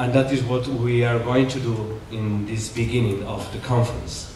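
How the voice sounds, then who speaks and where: In a Spanish accent, a man of medium pitch speaks at a very slow pace with fairly even intonation, amid audible room echo and noticeable background noise. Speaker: Jesuit priest, conference speaker. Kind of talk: conference lecture. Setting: conference hall with audience. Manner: halting, many fillers.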